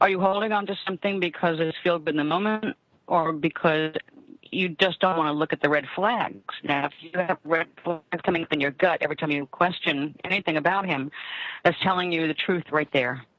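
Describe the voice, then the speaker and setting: This is an ordinary speaking voice. It goes at a fairly quick pace with ordinary pitch variation. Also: woman, fairly low pitch for a woman. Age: 60s. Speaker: tarot reader and psychic radio host. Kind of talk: live call-in psychic reading.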